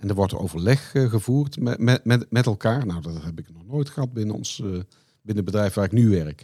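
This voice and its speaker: In a very clean recording with a silent background, a man with a Brabant accent talks at a moderate pace, his fairly low pitch carrying lively intonation. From Netherlands, Brabant. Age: 50s. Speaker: company finance director. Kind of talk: interview.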